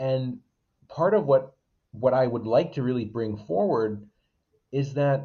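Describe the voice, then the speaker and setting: A somewhat breathy man with an American accent at a fairly slow pace. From Waterbury, Connecticut. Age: 20s. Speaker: local political candidate. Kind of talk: casual interview.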